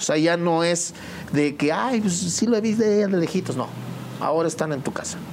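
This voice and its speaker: A man's high voice at a moderate pace, with ordinary pitch variation, audible room echo and noticeable background noise. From Mexico, State of Mexico (Temascalcingo). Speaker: musician. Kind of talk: interview.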